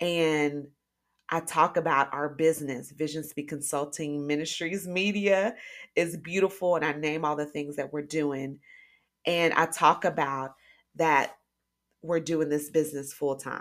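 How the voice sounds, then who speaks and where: A woman's very deep, low pitch and animated tone at a fairly slow pace, captured in a very clean recording with a silent background. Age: 40s. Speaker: podcast host and life coach. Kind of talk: casual monologue.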